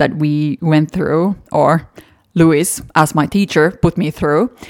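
A very slow woman's voice, very deep and low in pitch, with a Finnish accent. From Finland. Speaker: podcast host and fashion model. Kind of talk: solo podcast monologue.

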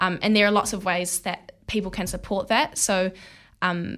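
On a very clean recording with a silent background, a woman with a New Zealand accent speaks at a fairly quick pace and medium pitch, her intonation fairly even. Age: young. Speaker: student activist. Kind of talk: interview. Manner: hesitant, many fillers.

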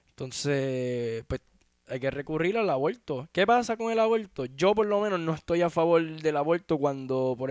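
An animated man with a Puerto Rican accent, lively intonation and a moderate pace, in a dry, close sound with no echo. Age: 20s. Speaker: podcast host. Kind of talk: solo commentary rant.

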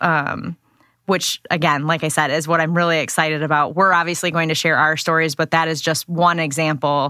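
Fairly low-pitched female voice with an American accent, bright and sharp in tone, at a moderate pace, dry and close with no echo. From West Michigan, US. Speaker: podcast co-host, attorney. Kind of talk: casual chat.

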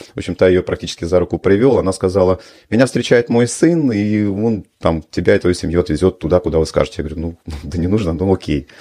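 Speech from a man pours out at a very fast pace. His pitch is very deep and low, with a dark, mellow tone. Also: ordinary pitch variation. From Russia. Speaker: business club founder and publisher. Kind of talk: interview.

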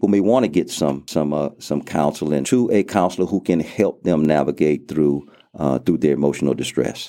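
In a very clean recording with a silent background, a man with a Louisiana accent and a very deep, low, dark, mellow voice talks at a moderate pace with hardly any pauses, very even loudness and ordinary pitch variation. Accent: Southern US (Louisiana). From US South, southwest Louisiana (Lake Charles). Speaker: pastor. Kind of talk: interview. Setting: studio.

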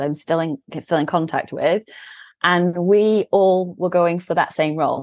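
A woman with an English accent speaks at a fairly low pitch with ordinary pitch variation, recorded dry and close with no echo against a quiet background. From England. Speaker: CEO of a management consultancy. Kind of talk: interview. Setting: remote call.

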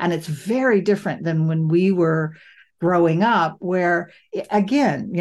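A woman with an unremarkable speaking voice talks at a moderate pace, her pitch fairly low with ordinary variation, against a quiet background. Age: 60s. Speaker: podcast host, affordable housing work. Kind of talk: casual chat.

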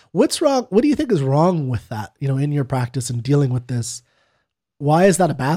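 The voice has a dark, mellow tone and is somewhat breathy. It moves at a fairly quick pace with lively intonation. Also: man, fairly high pitch for a man. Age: 30s. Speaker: podcast co-host, non-expert. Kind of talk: casual chat.

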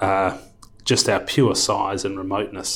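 A man talks at a fairly slow pace. He has an Australian accent. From Perth, Western Australia. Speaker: health fund council chair, business executive. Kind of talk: interview.

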